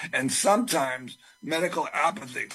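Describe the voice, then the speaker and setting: Over music in the background, a man talks at a fairly slow pace with a fairly high pitch. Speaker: testifier at a public legislative hearing. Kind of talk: public hearing testimony.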